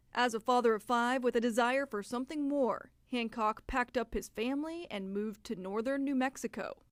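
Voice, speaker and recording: On a very clean recording with a silent background, a woman talks fairly quickly in a high voice with ordinary pitch variation. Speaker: news anchor. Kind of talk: news feature voice-over narration.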